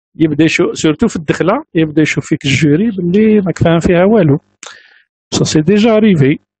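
This man has a high pitch and ordinary pitch variation. He talks at a very slow pace. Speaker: university lecturer. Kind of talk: lecture. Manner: halting.

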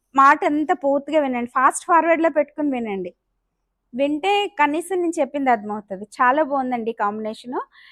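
Recorded with a dry, close sound and no echo, a woman speaks in a high voice with lively intonation. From Amalapuram, East Godavari, Andhra Pradesh. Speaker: saree seller and vlogger. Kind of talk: sales pitch. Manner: chatty, digressive.

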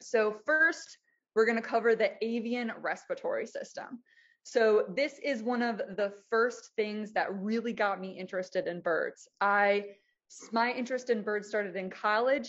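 A woman speaks in a fairly high pitch against a quiet background. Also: ordinary pitch variation. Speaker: bird researcher presenting to naturalists; presenter. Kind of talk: lecture. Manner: fast; casual, filler-heavy. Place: home room. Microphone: video call.

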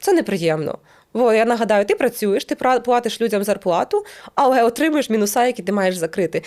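In a very clean recording with a silent background, a woman speaks at a fairly quick pace in a normal speaking voice, fairly high in pitch with lively intonation. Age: 30s. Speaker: YouTuber and business owner. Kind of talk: casual monologue to camera.

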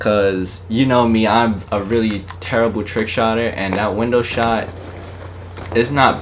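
A man talks at a fairly slow pace while noticeable background noise continues. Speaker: gaming YouTuber. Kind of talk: live gameplay commentary with an angry rant. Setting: home recording while gaming on console. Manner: animated, ranting, frustrated, swearing, on the verge of rage quitting; excitable, hyped, slangy.

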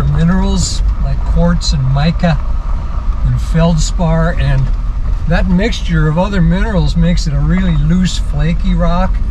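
A man with a very deep, low pitch speaks at a moderate pace in a monotone, flat delivery, with noticeable background noise behind him. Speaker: jeep tour guide driver. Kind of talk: tour guide commentary. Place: car.

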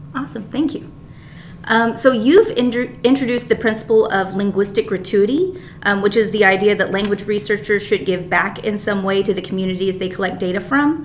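A woman talks at a fairly quick pace, her pitch varying in an ordinary way, with light background noise behind her. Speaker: graduate student interviewer. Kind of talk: interview. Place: meeting room. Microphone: camera far.

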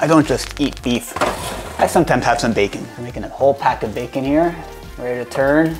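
A man at a very fast pace, with faint music in the background. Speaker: home vlogger. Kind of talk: casual vlog chat. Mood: light, humorous. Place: home room. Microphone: lapel.

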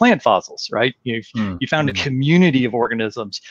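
A very fast pace in an American accent, dry with no echo, over a quiet background. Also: man. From US, Colorado. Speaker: biology professor. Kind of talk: interview. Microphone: video call.

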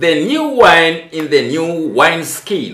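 A man speaks at a very slow pace and a high pitch. Audible room echo is present. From Tanzania. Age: 70s. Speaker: bishop and ministry leader; bishop. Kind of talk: interpreted religious teaching. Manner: halting. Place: home room.

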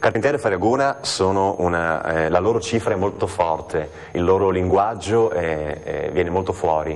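Ordinary pitch variation at a moderate pace. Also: man. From Trieste, Italy. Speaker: stage actor. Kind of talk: TV interview answer. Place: studio. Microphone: lapel.

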